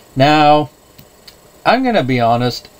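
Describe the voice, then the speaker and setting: Here a man is talking. His pace is moderate. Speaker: movie reviewer. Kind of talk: casual vlog chat. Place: home room. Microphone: webcam.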